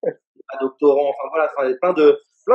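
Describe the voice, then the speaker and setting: A normal speaking voice with lively intonation. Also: man, dry, close sound with no echo. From Paris suburbs, France. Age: 30s. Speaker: entrepreneur, football agent school founder. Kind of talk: interview. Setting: remote from Paris.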